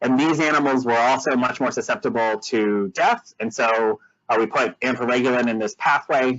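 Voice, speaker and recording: A man speaks at a medium pitch with ordinary pitch variation. His loudness stays very even. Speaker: immunology researcher. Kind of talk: scientific lecture. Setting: webinar. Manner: fast; hesitant with fillers.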